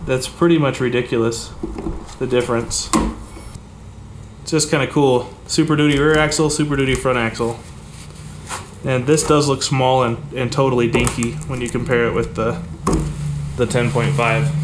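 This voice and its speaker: Over noticeable background noise, a man talks at a moderate pace, stopping for long pauses often. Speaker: home mechanic vlogger. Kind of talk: casual vlog chat. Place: garage.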